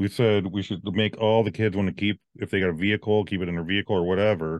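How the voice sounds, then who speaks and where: A man with an American accent, an ordinary speaking voice, a fairly low pitch, ordinary pitch variation and a fairly quick pace. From Virginia. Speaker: podcast co-host. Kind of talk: casual chat.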